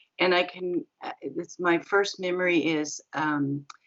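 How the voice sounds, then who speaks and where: In a Pacific Northwest accent, a woman speaks with a very deep, low pitch. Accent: Pacific Northwest American. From US Pacific Northwest, North Portland, Oregon. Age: 60s. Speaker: guest asking skeptical questions. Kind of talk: casual interview chat. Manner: halting, many fillers.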